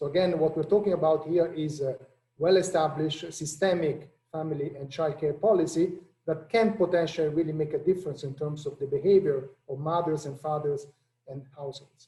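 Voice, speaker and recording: In an Italian accent, a man speaks at a fairly quick pace. His pitch is fairly high, with fairly even intonation. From Italy. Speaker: international economist, policy director. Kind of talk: panel discussion.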